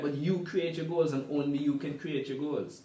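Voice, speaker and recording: With an Antiguan accent, a man with a fairly high pitch speaks at a moderate pace with ordinary pitch variation over noticeable background noise. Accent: Antiguan Caribbean English. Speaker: sports management professional. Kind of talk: casual interview; storytelling.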